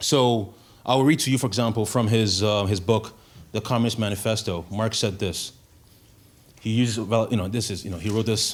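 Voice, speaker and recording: Audible room echo surrounds a man who speaks at a fairly low pitch and fairly quick pace with fairly even intonation. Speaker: guest speaker. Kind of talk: lecture. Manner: fast.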